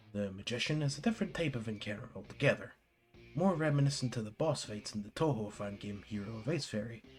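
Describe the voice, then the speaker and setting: With music in the background, a man talks fairly quickly at a medium pitch with lively intonation. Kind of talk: video game review narration. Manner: casual.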